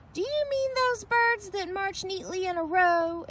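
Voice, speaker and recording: A woman puts on a loud, squeaky character voice at an extremely high pitch. Clear background noise runs underneath. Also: moderate pace. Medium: read story. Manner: loud, boisterous.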